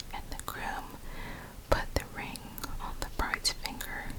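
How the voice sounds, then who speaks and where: The speaker is whispering in a gentle tone at a fairly slow pace. There is noticeable background noise. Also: woman. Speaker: ASMR creator. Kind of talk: whispered bedtime story for sleep. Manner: whispering, soft, gentle.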